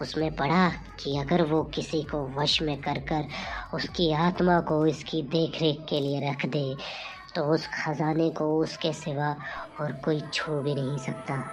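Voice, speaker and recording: A cartoonish character voice at a middle pitch, with clear music in the background. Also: moderate pace. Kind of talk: comic horror storytelling. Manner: dramatic, suspenseful.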